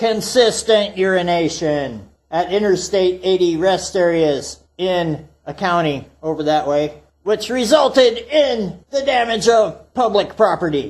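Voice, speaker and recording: This man puts on a character voice, pitched high. He speaks at a fairly slow pace. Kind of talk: folksy tall-tale storytelling. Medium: solo performance. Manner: refers to self in third person, rambling, profane.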